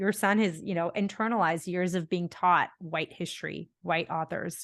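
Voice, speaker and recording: Over a quiet background, a woman uses a normal speaking voice at a medium pitch, with ordinary pitch variation and a moderate pace. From India, then Bahrain and Canada. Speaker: podcast host. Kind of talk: casual interview conversation.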